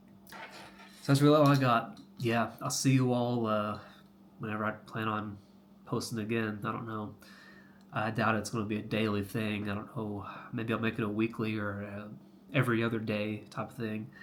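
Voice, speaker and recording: Speaking with an American accent at a moderate pace, a man with a fairly low pitch keeps fairly even intonation and leaves long, frequent pauses, with audible room echo behind him. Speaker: health coach, vlogger. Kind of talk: casual vlog monologue. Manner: halting, many fillers.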